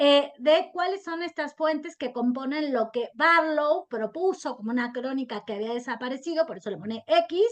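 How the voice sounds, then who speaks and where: With hardly any pauses, a woman talks at a moderate pace in a high pitch, her intonation lively. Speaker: historian. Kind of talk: interview. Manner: halting.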